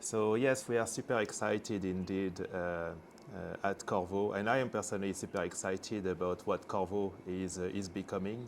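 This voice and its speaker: A man speaks at a moderate pace with a French accent, his fairly low pitch carried by fairly even intonation. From France. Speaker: semiconductor executive. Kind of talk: interview. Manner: halting, many fillers.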